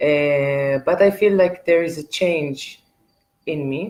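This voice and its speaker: A woman's very deep, low voice, fairly even in intonation, at a very slow pace. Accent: Israeli. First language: Hebrew. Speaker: artist. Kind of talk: live stream monologue. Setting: art gallery, live video stream. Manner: hesitant, many fillers.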